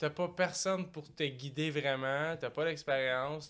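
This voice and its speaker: A man with a Quebec accent talks at a fairly slow pace. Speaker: entrepreneur. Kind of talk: casual chat.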